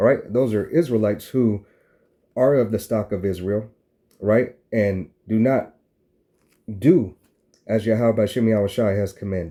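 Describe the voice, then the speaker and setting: Pausing often and at length, a man with a fairly low pitch and a dark, mellow tone speaks with ordinary pitch variation. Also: moderate pace. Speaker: religious teacher. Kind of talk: sermon. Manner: repetitive filler 'all right'.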